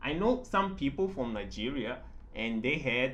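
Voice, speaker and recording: A man speaks at a fairly high pitch and a moderate pace, his voice swinging very widely in pitch. Noticeable background noise and audible room echo are present. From southern Africa. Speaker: concept artist and art teacher. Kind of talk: casual tutorial chat. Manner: halting, many fillers.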